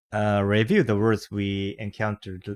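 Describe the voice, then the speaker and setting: A man's fairly low voice with fairly even intonation, in a Japanese accent. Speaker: channel host reading books aloud. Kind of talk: casual chat. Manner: halting.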